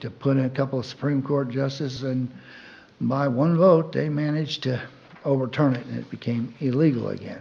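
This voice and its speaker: A man with a medium pitch speaks at a moderate pace with fairly even intonation, and there is noticeable background noise and audible room echo. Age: 70s. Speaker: public commenter. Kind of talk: public comment at council meeting. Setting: city council meeting.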